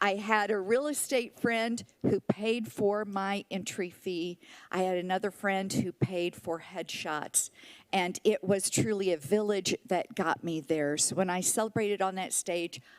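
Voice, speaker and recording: Recorded dry and close with no echo and a silent background in a very clean recording, a woman of medium pitch speaks in a plain, everyday voice with ordinary pitch variation. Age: 60s. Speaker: senior pageant titleholder. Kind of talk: public comment speech. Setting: city council meeting.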